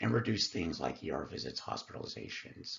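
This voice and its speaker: Vocal fry runs through the speech of a man who has an American accent. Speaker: nursing student and licensed vocational nurse. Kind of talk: educational presentation.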